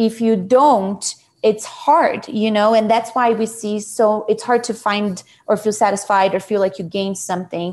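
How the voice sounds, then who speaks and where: Against a quiet background, the speaker talks at a fairly slow pace with a Portuguese accent. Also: woman, fairly high pitch for a woman. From Brazil, Sao Paulo. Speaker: nonprofit CEO. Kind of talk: interview.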